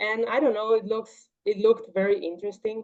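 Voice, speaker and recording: The speaker is a woman with a Portuguese accent. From Paraguay, Triple Border area. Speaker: martial arts athlete and engineer. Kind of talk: interview.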